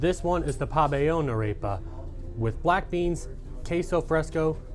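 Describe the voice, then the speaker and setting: A man's fairly high-pitched voice with lively intonation at a moderate pace, with music in the background. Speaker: multimedia journalist. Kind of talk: feature story narration.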